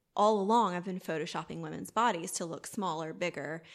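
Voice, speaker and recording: A woman speaks with a Southern US accent at a fairly low pitch, using ordinary pitch variation. The recording is very clean, with a silent background. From US South, southwest Georgia. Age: 30s. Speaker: boudoir photographer. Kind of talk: casual interview.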